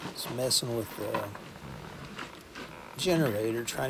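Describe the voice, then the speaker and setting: A man talks in a relaxed tone with a Southern US accent. Noticeable background noise is present. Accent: Southern US drawl. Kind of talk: casual voiceover walkthrough. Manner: relaxed, rambling.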